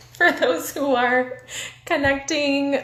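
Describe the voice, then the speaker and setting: A woman's high voice at a very slow pace, with audible room echo. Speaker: recreation therapy interviewer. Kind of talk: live-stream Q&A. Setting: Instagram live video. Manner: animated.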